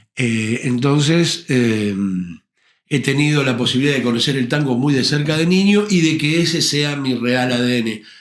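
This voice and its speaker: A man's fairly high voice with ordinary pitch variation and very even loudness, amid audible room echo. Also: moderate pace. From Argentina, Buenos Aires conurbano (Avellaneda area). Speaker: tango and rock singer, actor. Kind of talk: interview conversation.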